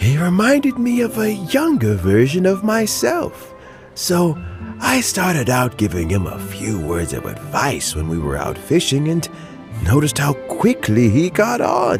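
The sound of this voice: Using a put-on character voice, a man swings his pitch very widely at a fairly slow pace over faint music in the background. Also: fairly high pitch for a man.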